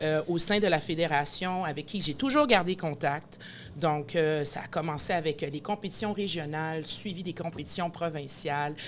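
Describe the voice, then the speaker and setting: At a fairly low pitch, a woman talks at a moderate pace with ordinary pitch variation. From Quebec, Montreal. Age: 40s. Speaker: event host and announcer. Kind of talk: podcast interview. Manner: energetic.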